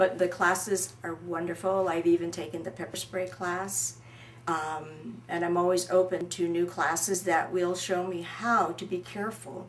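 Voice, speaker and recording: A woman speaks in a fairly low pitch with ordinary variation. Noticeable noise runs in the background. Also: moderate pace. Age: 60s. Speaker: crime survivor and shooting student. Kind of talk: testimony.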